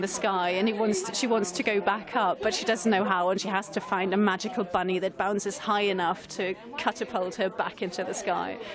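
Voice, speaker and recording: A woman talks at a fairly quick pace with fairly even intonation. Noticeable background noise can be heard behind her. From Italy. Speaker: children's author. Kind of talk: radio interview.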